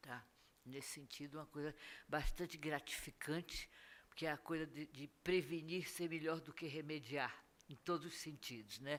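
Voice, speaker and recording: A woman with a very deep, low pitch speaks at a moderate pace, her intonation fairly even but her loudness swinging widely. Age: 80s+. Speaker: school drug prevention educator. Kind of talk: lecture.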